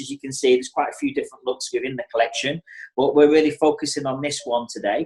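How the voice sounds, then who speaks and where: This is a man speaking with an English accent. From England. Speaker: hairdresser and educator. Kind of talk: tutorial. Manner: casual, filler-heavy.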